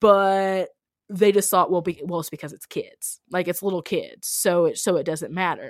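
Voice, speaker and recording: Here is a woman with an ordinary speaking voice and medium pitch, talking at a moderate pace. The recording is very clean, with a silent background. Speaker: minister and anti-racism writer. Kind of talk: casual interview.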